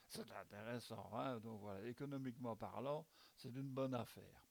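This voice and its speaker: This man's words come out at a fairly slow pace. He holds a medium pitch that varies in an ordinary way. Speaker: amateur video blogger presenting a news bulletin. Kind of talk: informal spoken news commentary. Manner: hesitant, many fillers and repetitions.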